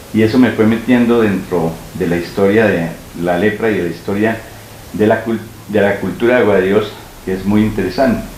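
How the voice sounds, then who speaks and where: A man with a fairly low voice speaks at a fairly quick pace with fairly even intonation, broken by long, frequent pauses, over noticeable background noise and audible room echo. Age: 60s. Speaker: local historian and journalist. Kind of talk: interview. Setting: at home. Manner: hesitant with fillers.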